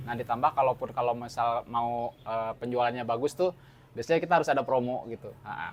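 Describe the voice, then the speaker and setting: A man talks at a very fast pace. His medium-pitched voice keeps fairly even intonation. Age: 40s. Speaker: fried rice stall owner. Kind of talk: interview. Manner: hesitant, many fillers.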